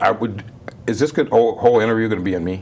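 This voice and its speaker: A man at a very fast pace amid noticeable background noise. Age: 70s. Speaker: barber shop owner. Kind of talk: casual interview.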